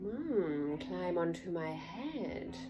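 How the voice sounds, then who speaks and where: Someone performs a put-on character voice against clear background noise. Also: woman. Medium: read story. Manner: sly, coaxing.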